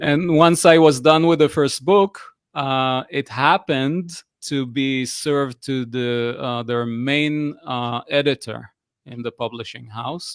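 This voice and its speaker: In an Israeli accent, a man speaks very slowly at a medium pitch with ordinary pitch variation, in a very clean recording with a silent background and a dry, close sound with no echo. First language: Hebrew. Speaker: personal coach. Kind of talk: interview conversation. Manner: hesitant, many fillers.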